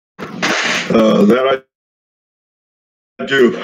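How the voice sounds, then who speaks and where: Light background noise sits behind the recording. A man speaks with lively intonation. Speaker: discord community interviewer. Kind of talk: Q&A interview. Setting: online voice chat. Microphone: video call.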